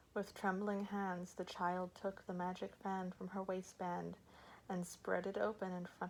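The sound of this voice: Here is an unforced reading voice. Nothing in it sounds pushed.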